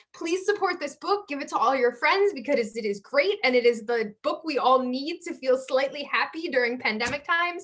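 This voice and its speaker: A woman speaks with a high pitch. Her intonation is lively. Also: hardly any pauses. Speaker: launch event speaker. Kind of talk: personal story. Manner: fast.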